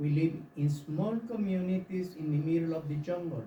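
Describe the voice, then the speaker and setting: This man's pitch sits fairly high and his tone is dark and mellow, with a Yucatán accent and audible room echo. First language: Yucatec Maya. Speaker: audience member, tour guide. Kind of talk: audience question. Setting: live forum with audience.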